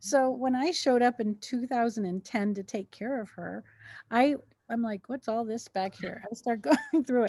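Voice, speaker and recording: A woman's dark, mellow tone at a fairly high pitch, in a very clean recording with a silent background. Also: ordinary pitch variation, moderate pace, dry, close sound with no echo. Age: 60s. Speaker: mental health podcast co-host. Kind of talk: casual chat.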